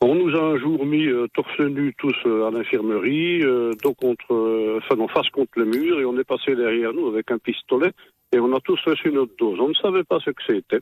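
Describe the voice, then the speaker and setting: A man with an unremarkable speaking voice at a moderate pace, ordinary pitch variation, and a dry, close sound with no echo. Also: medium pitch for a man, very even loudness. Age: 60s. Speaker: radio listener caller. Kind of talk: call-in comment.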